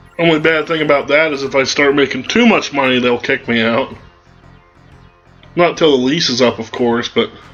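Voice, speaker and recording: Music plays in the background as a man with a fairly high pitch speaks at a moderate pace, with ordinary pitch variation and long, frequent pauses. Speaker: let's play gamer. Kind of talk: gameplay commentary. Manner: casual.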